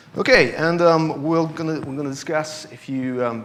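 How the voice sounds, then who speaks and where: In a Russian accent, a man speaks at a fairly quick pace with audible room echo and noticeable background noise. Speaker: security analyst. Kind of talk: conference talk. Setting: stage with audience. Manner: halting, many fillers.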